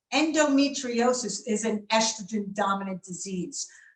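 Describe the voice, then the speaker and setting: With audible room echo around her, a woman talks at a fairly slow pace in a fairly high pitch with ordinary pitch variation. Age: 60s. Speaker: doctor. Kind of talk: webinar lecture.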